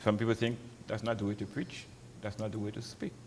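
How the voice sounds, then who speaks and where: A man speaks in a Crucian accent, his pitch fairly low. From St. Croix, US Virgin Islands. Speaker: pastor. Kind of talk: interview. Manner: halting.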